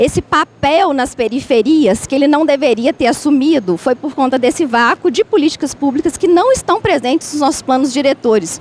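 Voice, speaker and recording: A woman with a high voice and lively intonation talks at a moderate pace with hardly any pauses, the sound dry and close with no echo but with noticeable background noise. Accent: Minas Gerais. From Minas Gerais, Brazil. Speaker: university researcher in food environments. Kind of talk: panel debate. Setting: public event in a market hall. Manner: halting, with many fillers.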